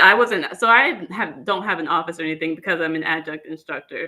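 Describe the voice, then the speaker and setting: A woman talks at a fairly quick pace in a fairly low voice with ordinary pitch variation. It is an ordinary speaking voice. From Northern Virginia. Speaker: food blogger and communications instructor. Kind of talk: interview chat.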